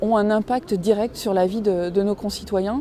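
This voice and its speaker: A woman speaks at a medium pitch. Her pace is moderate and her intonation fairly even. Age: 40s. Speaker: local councillor. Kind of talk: campaign statement. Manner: hesitant, many fillers.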